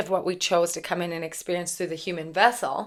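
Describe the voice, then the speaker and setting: A woman talks in an unremarkable speaking voice at a medium pitch. She goes at a fairly quick pace. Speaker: spiritual channeler and tarot reader. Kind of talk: channeled spiritual message monologue. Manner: casual, filler-heavy.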